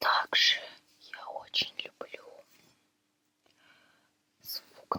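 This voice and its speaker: A whisper with a gentle tone. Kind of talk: ASMR video. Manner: whispered, gentle.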